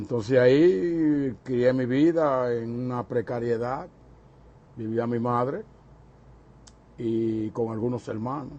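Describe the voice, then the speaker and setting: A man's very slow, dark and mellow speech broken by long, frequent pauses. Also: medium pitch for a man, ordinary pitch variation. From Dominican Republic, Santo Domingo. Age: 70s. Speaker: interviewee recalling his life. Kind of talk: oral history interview. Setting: recorded interview on camera.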